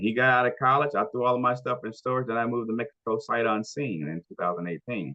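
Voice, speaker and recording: Very fast speech in a Southern US accent, with hardly any pauses, ordinary pitch variation and big swings in loudness. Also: man, medium pitch for a man. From Shreveport, Louisiana, USA. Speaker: chef and culinary instructor. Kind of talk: interview answer.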